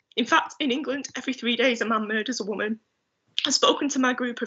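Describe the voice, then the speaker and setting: A woman talks at a fairly quick pace in a high voice with ordinary pitch variation. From Salford, Greater Manchester. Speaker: city councillor. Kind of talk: prepared speech in council meeting. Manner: shaking voice.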